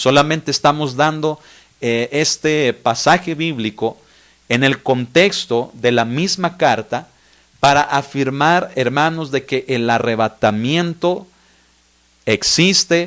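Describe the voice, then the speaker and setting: Speaking at a very slow pace, a man uses a fairly high pitch and ordinary pitch variation. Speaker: pastor. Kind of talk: bible study teaching.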